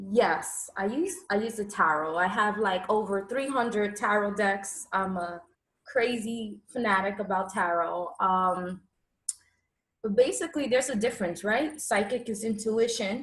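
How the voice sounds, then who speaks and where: A fairly slow pace, with a New York accent and ordinary pitch variation. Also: woman, medium pitch for a woman. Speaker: tarot reader. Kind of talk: interview. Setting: livestream.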